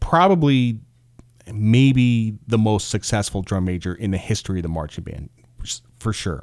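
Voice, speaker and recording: With an unremarkable speaking voice, a man speaks at a moderate pace and a fairly low pitch with lively intonation, in a very clean recording with a silent background. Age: 40s. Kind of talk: casual solo monologue.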